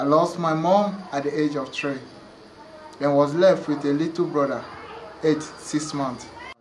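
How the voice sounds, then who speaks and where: A man with a fairly high pitch talks at a moderate pace with fairly even intonation and long, frequent pauses. Noticeable background noise and audible room echo fill the recording. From Togo, West Africa. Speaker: refugee sharing life story. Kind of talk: reading aloud personal story.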